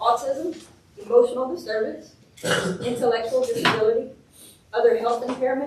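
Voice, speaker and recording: Noticeable background noise sits behind a woman's high-pitched voice. She speaks at a fairly quick pace with ordinary pitch variation. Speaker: special education administrator. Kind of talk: training presentation. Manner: fast; passionate.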